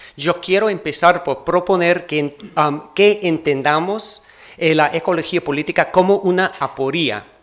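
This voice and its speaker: The speaker has a non-native accent and ordinary pitch variation. The pace is fairly slow. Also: man, high pitch for a man. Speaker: keynote speaker, academic researcher. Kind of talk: conference keynote lecture. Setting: university auditorium with audience. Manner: halting, with self-corrections.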